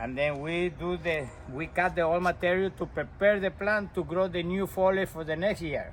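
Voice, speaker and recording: In a Costa Rican accent, the speaker keeps a moderate pace and fairly even intonation with hardly any pauses. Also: man, high pitch for a man. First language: Spanish. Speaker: landscaper. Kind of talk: tutorial. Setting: outdoors. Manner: halting.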